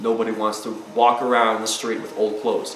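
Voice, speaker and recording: A man's voice amid noticeable background noise, with audible room echo. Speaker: self-help vlogger. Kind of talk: motivational monologue. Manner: fast; animated.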